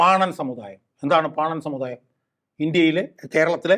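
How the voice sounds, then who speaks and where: A man with a fairly high pitch, an animated tone and ordinary pitch variation speaks against a quiet background. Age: 60s. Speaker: political activist and advocate. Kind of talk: talk show interview.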